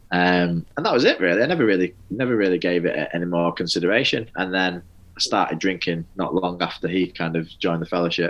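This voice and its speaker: A man with a very deep, low voice and a Mancunian accent, talking very fast with hardly any pauses and fairly even intonation. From northern England, Manchester. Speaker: podcast host in addiction recovery. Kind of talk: personal recovery testimony in interview. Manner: hesitant, many fillers and restarts.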